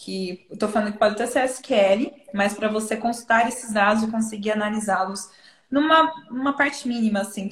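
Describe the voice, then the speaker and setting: With a fairly high pitch and ordinary pitch variation, a woman talks at a fairly quick pace in a normal speaking voice. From interior of São Paulo state, Brazil. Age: 20s. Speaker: data product manager and content creator. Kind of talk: casual live-stream interview.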